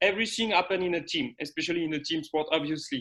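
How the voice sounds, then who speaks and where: With a French accent, a man talks in a high pitch with ordinary pitch variation against a quiet background. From France. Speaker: sports scientist. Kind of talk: conference presentation. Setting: video call. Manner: halting.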